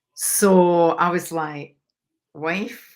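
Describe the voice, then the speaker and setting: A woman in a Scottish accent, fairly low in pitch. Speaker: mindset coach. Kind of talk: interview.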